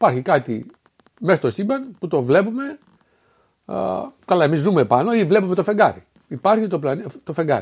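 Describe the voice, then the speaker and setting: A man with a high pitch swings very widely in pitch while keeping a moderate pace. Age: 60s. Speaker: spiritual philosophy speaker. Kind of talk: solo spoken talk. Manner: halting, with fillers and self-corrections.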